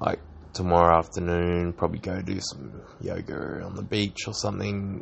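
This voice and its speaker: A man's very deep, low voice rises and falls with ordinary pitch variation. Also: moderate pace. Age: 30s. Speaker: podcaster. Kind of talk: personal diary monologue. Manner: halting.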